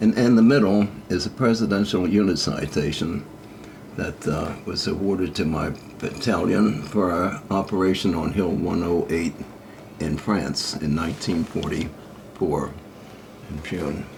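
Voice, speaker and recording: A man's very deep, low voice at a fairly slow pace with ordinary pitch variation, noticeable background noise and audible room echo. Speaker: war veteran. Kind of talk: oral history interview. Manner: halting.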